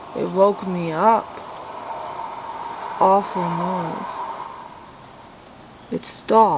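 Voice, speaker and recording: Noticeable background noise accompanies speech at a very slow pace. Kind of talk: casual talk to camera.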